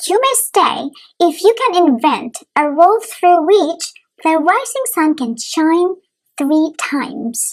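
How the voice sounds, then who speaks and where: A woman's put-on character voice, extremely high in pitch, with very wide pitch swings at a fairly slow pace. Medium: read story. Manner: commanding, formal.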